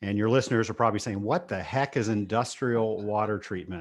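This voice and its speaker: A man's normal speaking voice in an American accent, medium in pitch, fairly quick, against a quiet background. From Virginia, Richmond. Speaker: business owner and podcast host. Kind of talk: interview.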